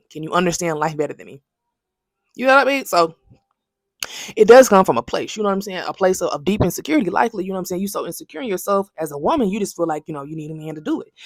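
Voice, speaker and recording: Loudness swings widely as a woman talks at a very fast pace. Her pitch sits in the medium range. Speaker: commentary vlogger. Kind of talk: casual commentary monologue. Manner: halting, repeats words.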